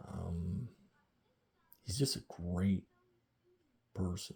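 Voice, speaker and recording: In an American accent, a man speaks at a fairly slow pace with a very deep, low pitch and a dark, mellow, somewhat breathy tone. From rural Ontario, Canada. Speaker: vlogger. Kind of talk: casual monologue vlog. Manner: talkative.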